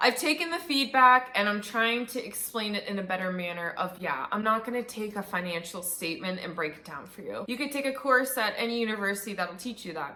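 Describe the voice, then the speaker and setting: Over noticeable background noise, a woman with a fairly high pitch talks at a fairly quick pace with hardly any pauses, in an animated tone with lively intonation and big swings in loudness. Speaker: YouTuber, business student. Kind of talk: channel introduction vlog. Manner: fast; casual, animated.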